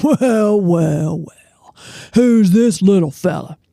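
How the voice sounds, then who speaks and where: A put-on character voice at middle pitch and a very slow pace. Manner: booming, bellowing.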